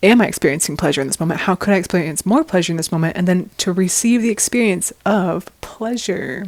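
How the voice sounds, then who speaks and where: Over noticeable background noise, the speaker races along at a very fast pace with hardly any pauses, using an animated tone and ordinary pitch variation. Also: woman, medium pitch for a woman. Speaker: personal growth vlogger. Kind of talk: casual monologue to camera. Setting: outdoors on a quiet street. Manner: loud.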